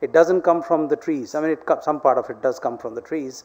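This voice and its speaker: This man's pitch is fairly high. His pitch varies in an ordinary way. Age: 60s. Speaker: keynote speaker, head of a global organization. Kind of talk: conference speech. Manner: halting, many fillers and repeats.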